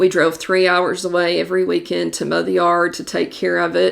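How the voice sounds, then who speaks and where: In a Southern US accent, a woman speaks at a moderate pace on a very clean recording with a silent background. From Kentucky, Somerset. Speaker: real estate agent. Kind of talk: podcast monologue. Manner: casual, conversational.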